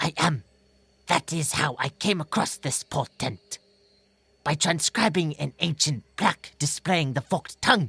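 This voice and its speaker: The voice is a put-on character voice at a middle pitch. It moves at a moderate pace. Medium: read story. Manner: earnest, careful, nervous.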